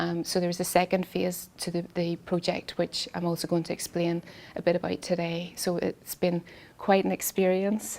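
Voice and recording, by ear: A woman with a fairly low pitch and a slightly mellow tone speaks at a moderate pace in a monotone, flat intonation, with vocal fry.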